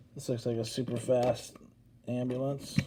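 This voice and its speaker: Somewhat breathy, a man talks at a medium pitch. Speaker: die-cast toy collector YouTuber. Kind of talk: casual unboxing commentary. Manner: hesitant, many fillers.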